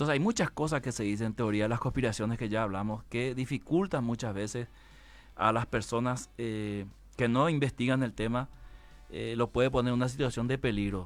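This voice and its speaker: This is a normal speaking voice with ordinary pitch variation, delivered at a fairly quick pace on a very clean recording with a silent background. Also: man, medium pitch for a man. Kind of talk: guest explaining a religious view in a talk show interview.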